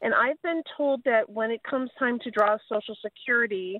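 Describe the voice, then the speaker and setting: Using an unremarkable speaking voice, a woman speaks at a moderate pace with a fairly high pitch and ordinary pitch variation. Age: 60s. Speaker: caller. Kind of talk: phone-in question.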